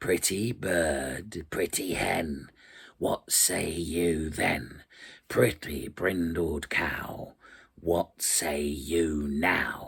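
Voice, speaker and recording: A man puts on a raspy character voice with a very deep, low pitch, speaking at a very slow pace. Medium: read story. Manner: gruff.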